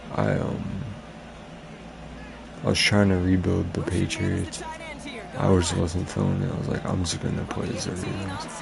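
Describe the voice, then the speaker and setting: Over crowd noise and audible room echo, a soft-spoken man with a very deep, low pitch talks at a moderate pace in a monotone, flat delivery, leaving long, frequent pauses. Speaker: gaming streamer. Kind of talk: live game commentary. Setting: live stream.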